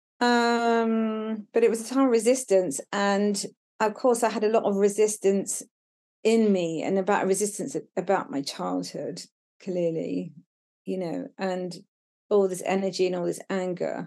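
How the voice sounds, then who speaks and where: A woman speaks at a fairly slow pace in a southern English accent, her pitch medium. Her tone is dark and mellow, with ordinary pitch variation. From Brighton, England. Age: 50s. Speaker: documentary photographer. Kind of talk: casual chat. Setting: outdoors.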